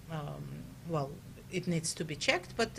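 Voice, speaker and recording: A woman's vocal fry at a fairly slow pace. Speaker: investigative journalist. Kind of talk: interview. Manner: loud; halting, many fillers.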